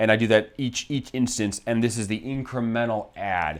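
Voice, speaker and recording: A man's medium-pitched voice at a fairly quick pace with ordinary pitch variation, on a very clean recording with a silent background. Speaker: investing channel host, financial analyst. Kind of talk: tutorial. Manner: fast; casual, with fillers and self-corrections.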